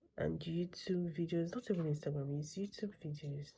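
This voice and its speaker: Quietly and at a fairly slow pace, a woman speaks. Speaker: vlogger. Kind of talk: casual vlog talk. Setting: at home late at night; salon studio. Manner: quiet, keeping voice down.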